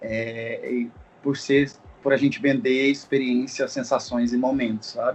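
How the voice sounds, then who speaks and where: With a plain, everyday voice, a man speaks at a fairly slow pace in a medium pitch with fairly even intonation. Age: 20s. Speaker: events business owner. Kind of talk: casual chat.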